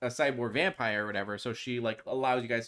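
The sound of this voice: Intonation stays fairly even here. The voice reading is unforced.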